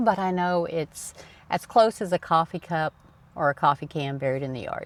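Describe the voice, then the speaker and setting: A woman with a Southern US accent at a moderate pace, in a dry, close sound with no echo and a very clean recording with a silent background. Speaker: personal finance YouTuber. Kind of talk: casual talk to camera. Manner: casual.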